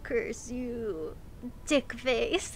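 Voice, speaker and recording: A woman performs a put-on character voice at a high pitch. Clear background noise can be heard. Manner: menacing, cursing.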